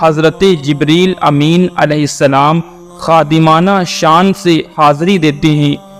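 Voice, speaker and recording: Against background music, a man talks with fairly even intonation. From India. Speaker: voice-over artist. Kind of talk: religious lecture narration.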